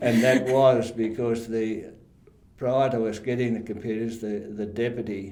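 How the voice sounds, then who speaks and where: This man has an Australian accent and talks at a moderate pace at a medium pitch. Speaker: retired council staff member. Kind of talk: interview answer. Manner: hesitant, halting.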